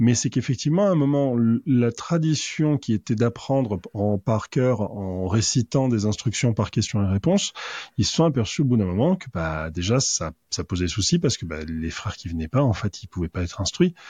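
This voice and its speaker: A man with a somewhat breathy, medium-pitched voice talks at a moderate pace, his pitch swinging very widely. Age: 40s. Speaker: author, freemason. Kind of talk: casual chat.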